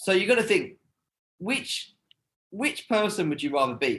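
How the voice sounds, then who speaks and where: A man speaks in a British accent at a moderate pace. His intonation is lively. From United Kingdom. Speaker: TV host and content creator. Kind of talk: casual interview. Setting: video call.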